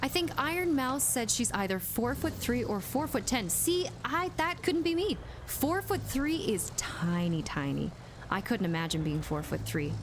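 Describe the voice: A woman's voice at very even loudness over noticeable background noise. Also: moderate pace.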